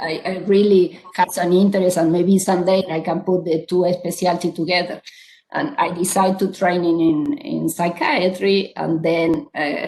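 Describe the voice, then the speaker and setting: The speaker has an Argentine accent and fairly even intonation, keeping a moderate pace. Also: woman. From Argentina. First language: Spanish. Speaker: psychiatrist. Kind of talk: panel discussion.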